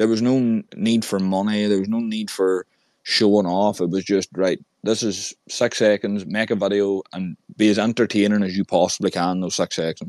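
Fairly low-pitched male speech in an Irish accent, at a moderate pace and in a flat monotone, with a dry, close sound with no echo on a very clean recording over a silent background. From Ireland. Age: 20s. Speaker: podcast host. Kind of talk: casual chat.

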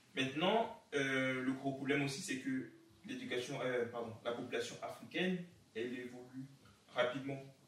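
Moderate-paced speech with ordinary pitch variation and long, frequent pauses, plus noticeable background noise and audible room echo. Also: man, medium pitch for a man. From Cameroon. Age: 20s. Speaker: entrepreneur and engineer. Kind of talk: interview. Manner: halting.

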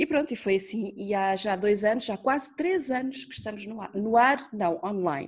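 Her voice somewhat breathy, a woman speaks at a fairly high pitch with lively intonation. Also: moderate pace, hardly any pauses. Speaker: radio producer. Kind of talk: interview. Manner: talkative.

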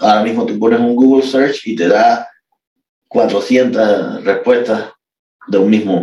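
A man talks at a very slow pace, stopping often for long pauses. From Cuba, Havana area. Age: 40s. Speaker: classical guitarist. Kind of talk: interview conversation.

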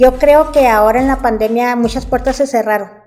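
Against noticeable background noise, a woman talks at a high pitch with fairly even intonation. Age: 50s. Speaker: business owner. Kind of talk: interview.

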